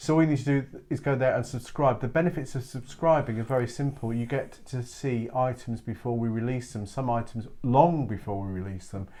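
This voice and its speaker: A man with an English accent, medium pitch and a dark, mellow tone, fairly quick with hardly any pauses and ordinary pitch variation. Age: 60s. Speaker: craft download seller, co-host. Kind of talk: casual chat.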